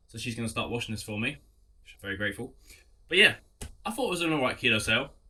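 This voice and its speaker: A man talks at a very fast pace with an English accent. His tone is bright and sharp. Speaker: clothing reseller. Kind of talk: casual vlog talk.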